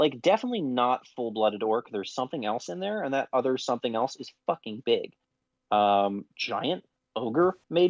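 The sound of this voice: An unforced reading voice is heard, with little sound in the background.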